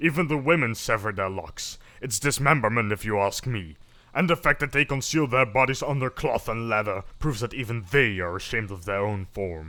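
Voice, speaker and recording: A booming man uses a put-on character voice at medium pitch and a fairly quick pace, in a very clean recording with a silent background. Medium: read story. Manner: stern, commanding.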